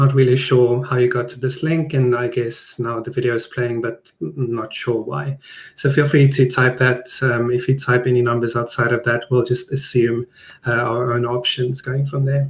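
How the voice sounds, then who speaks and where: Speaking in a South African accent, the voice is somewhat breathy, with fairly even intonation. The pace is moderate. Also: man, medium pitch for a man. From South Africa (Johannesburg). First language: Afrikaans. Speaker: product designer. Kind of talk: webinar presentation. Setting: live online stream. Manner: hesitant, many fillers.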